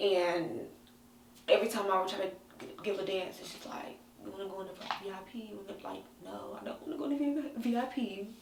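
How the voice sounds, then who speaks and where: A woman speaks fairly quickly at a medium pitch, with lively intonation and big swings in loudness. Room echo and background noise are both noticeable. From North Carolina, small town. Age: 20s. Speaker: interviewee sharing life story. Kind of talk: personal interview testimony. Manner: hesitant, many fillers.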